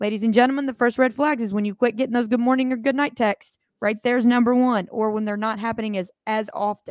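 A woman with a fairly high pitch and an animated tone talks at a very fast pace with hardly any pauses. The sound is dry and close, with no echo. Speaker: podcast co-host. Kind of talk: casual chat.

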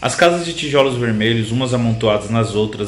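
A man speaks at a fairly quick pace with fairly even intonation. Noticeable background noise and audible room echo surround him. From Brazil, Itapecerica da Serra, São Paulo state. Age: 30s. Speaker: writer. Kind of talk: reading aloud from own novel.

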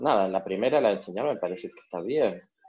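A man is speaking. His pitch sits fairly low. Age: 30s. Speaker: coaching client. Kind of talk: coaching session. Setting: recorded session. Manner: halting.

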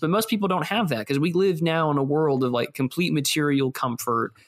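In an ordinary speaking voice, a man talks at a fairly quick pace and fairly high pitch with hardly any pauses, very even loudness and ordinary pitch variation. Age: 20s. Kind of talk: casual chat.

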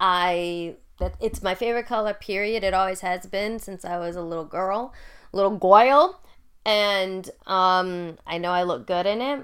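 A woman with an ordinary speaking voice talks fairly slowly at a medium pitch, with ordinary pitch variation. The recording is very clean, with a silent background. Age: 30s. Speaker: podcast host and military veteran. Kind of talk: casual solo monologue. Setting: home recording in bedroom.

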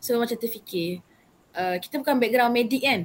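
A woman with a plain, everyday voice speaks at a fairly high pitch. Her pitch varies an ordinary amount. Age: young. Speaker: youth council member and vaccine centre assistant. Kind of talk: casual interview.

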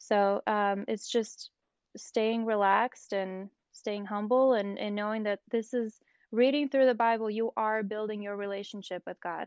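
An ordinary speaking voice, fairly even intonation and a fairly slow pace. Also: woman, fairly high pitch for a woman. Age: 20s. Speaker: small business owner. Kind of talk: casual chat about the Bible.

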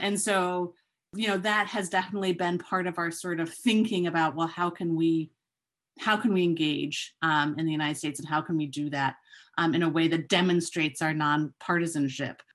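A woman with an American accent talks at a fairly quick pace, her pitch fairly low, in a normal speaking voice. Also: fairly even intonation, quiet background. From Chicago and London. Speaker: election observation expert and lawyer. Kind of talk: podcast interview answers.

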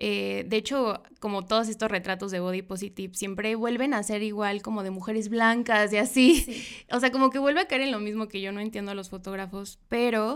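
A woman talks at a fairly quick pace with hardly any pauses. She has a normal speaking voice, fairly high in pitch, with ordinary pitch variation. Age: 20s. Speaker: photographer. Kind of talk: interview. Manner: casual, with many fillers.

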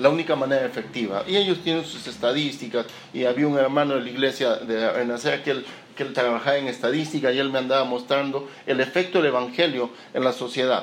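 This man talks at a very fast pace, his pitch medium and its variation ordinary. Noticeable background noise and audible room echo are present. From Peru, Lima. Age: 40s. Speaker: pastor. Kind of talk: sermon. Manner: halting, repeats words.

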